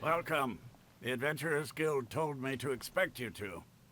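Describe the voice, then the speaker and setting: Putting on a raspy character voice, a man speaks at a medium pitch and a moderate pace. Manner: welcoming.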